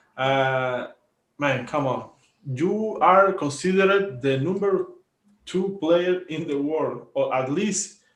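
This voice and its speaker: A man with a Spanish accent speaks at a very slow pace, his pitch high for a man. His pitch variation is ordinary, and room echo is audible. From Cuba. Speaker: volleyball podcast co-host. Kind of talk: casual sports commentary chat. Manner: halting, many fillers and repetitions.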